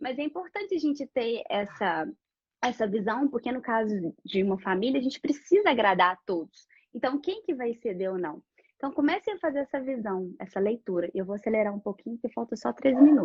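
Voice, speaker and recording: Talking at a fairly quick pace, a woman uses a fairly high pitch with very wide swings. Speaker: architect. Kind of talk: live-stream presentation. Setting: online live stream. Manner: fast.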